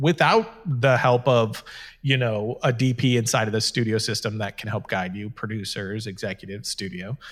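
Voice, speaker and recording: In a very clean recording with a silent background, a man speaks at a medium pitch with a somewhat breathy voice and ordinary pitch variation. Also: moderate pace. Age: 30s. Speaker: filmmaker and online video show host. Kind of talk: casual chat.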